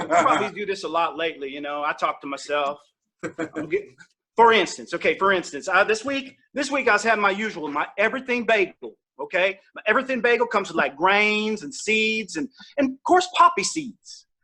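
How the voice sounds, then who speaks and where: With a Southern accent, a man speaks in a raised, projected voice that is high-pitched, bright and sharp, animated in tone, with very wide pitch swings and a fairly quick pace. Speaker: comedian. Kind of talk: stand-up. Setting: virtual comedy show.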